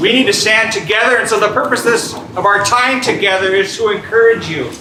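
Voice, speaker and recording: Through noticeable background noise and audible room echo, a man speaks in a raised, projected voice at a high pitch, with fairly even intonation and a moderate pace. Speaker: community organization leader. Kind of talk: meeting welcome speech. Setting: church venue with live audience. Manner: loud.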